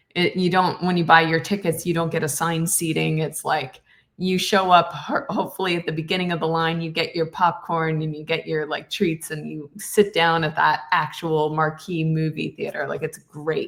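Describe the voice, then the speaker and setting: A woman with a Canadian accent speaks in a normal speaking voice, fairly low-pitched, at a moderate pace with fairly even intonation and hardly any pauses. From Canada. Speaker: actress and voice actor. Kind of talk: podcast interview answer. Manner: casual, chatty.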